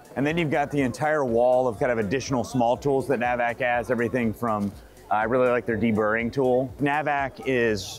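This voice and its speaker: Faint music plays behind a man who talks at a fairly quick pace with fairly even intonation. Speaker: presenter. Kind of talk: product commentary. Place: hall.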